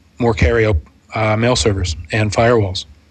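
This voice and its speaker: A man talks in an American accent at a moderate pace. Noticeable background noise sits behind him. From Pittsburgh, Pennsylvania. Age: 30s. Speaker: podcaster and tech channel manager. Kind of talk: casual interview.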